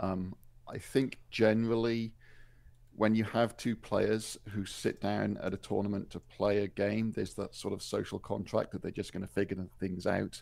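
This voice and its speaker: A fairly low-pitched man with a British accent. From Wales. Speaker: tournament referee and judge. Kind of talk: interview.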